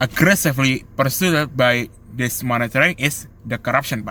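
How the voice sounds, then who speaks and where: With an Indonesian accent, a man speaks fairly slowly. His pitch is medium and varies in an ordinary way. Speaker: law student. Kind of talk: student presentation. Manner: halting.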